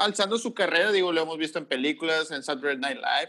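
A man with a high pitch and a bright, sharp tone speaks with lively intonation. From Mexico, Tampico area. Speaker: podcast co-host, teacher. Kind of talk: casual chat.

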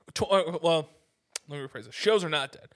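This man has a normal speaking voice with a fairly high pitch and lively intonation. The background is quiet. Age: 30s. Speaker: podcast host and musician. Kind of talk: casual chat.

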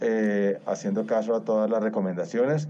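You can hear a man talking. His voice falls in a middle pitch range. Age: 60s. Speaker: interviewee. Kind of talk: interview. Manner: halting.

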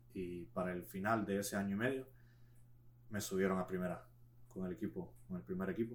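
Pitched very deep and low, a man talks at a fairly quick pace with lively intonation and long, frequent pauses. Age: 20s. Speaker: former football player. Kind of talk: casual chat. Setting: studio.

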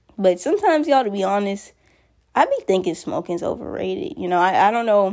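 A woman talks very fast at a medium pitch with lively intonation. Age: young. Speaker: storyteller vlogger. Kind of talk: story time monologue. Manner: casual and rambling with fillers.

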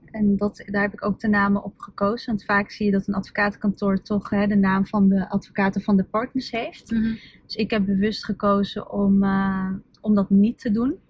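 In a dry, close sound with no echo, a woman speaks at a medium pitch with monotone, flat intonation and a somewhat breathy voice. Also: moderate pace. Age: 30s. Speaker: lawyer and entrepreneur. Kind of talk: casual interview. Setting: in a car.

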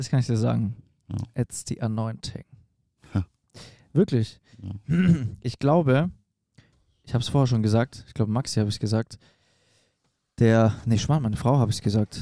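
Long, frequent pauses break up a man's moderate-paced speech, and his loudness swings widely. His tone is dark and mellow at a medium pitch with ordinary pitch variation, in a dry, close sound with no echo. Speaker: evangelist podcast host. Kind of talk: casual chat. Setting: in a caravan.

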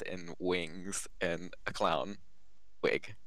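An American accent with audible room echo. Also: man. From Giles County, Virginia. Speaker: podcast guest telling scary stories. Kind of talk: casual storytelling.

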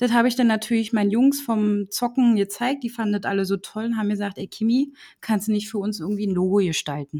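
A woman speaks at a very fast pace in a fairly high pitch, with a dark, mellow tone, a somewhat breathy quality and ordinary pitch variation. The sound is dry and close with no echo, in a very clean recording with a silent background. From Berlin, Germany. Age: 20s. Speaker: designer and agency owner. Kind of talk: casual interview.

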